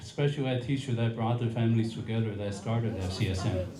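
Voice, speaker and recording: A man speaks with an American accent at a moderate pace. Audible room echo surrounds his voice. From US, San Francisco Bay Area (Sunnyvale). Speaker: event emcee. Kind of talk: ceremony speech.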